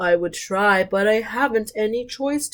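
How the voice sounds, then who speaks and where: A put-on character voice at a fairly high pitch and moderate pace. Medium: read story. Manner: mopey, sad.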